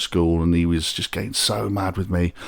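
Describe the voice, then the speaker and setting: This is a very clean recording of a man, with a silent background. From West Midlands, England (Wolverhampton, Shropshire). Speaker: DJ. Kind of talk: casual chat.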